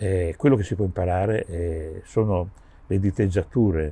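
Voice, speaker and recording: A man speaks at a moderate pace with a very deep, low pitch and ordinary pitch variation. His tone is dark, mellow and somewhat breathy, and the sound is dry with no echo. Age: 70s. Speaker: session drummer; interviewee. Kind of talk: interview. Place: garden.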